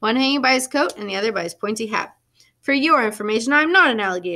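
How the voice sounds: Against a quiet background, the text is given in a natural reading voice.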